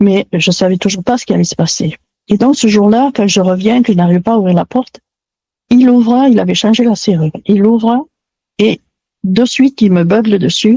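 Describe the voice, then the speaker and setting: A woman speaks in a fairly high, somewhat breathy voice at a moderate pace, with ordinary pitch variation. Long, frequent pauses break her speech, and the sound is dry and close with no echo. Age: 70s. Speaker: testimony guest. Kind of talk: testimony.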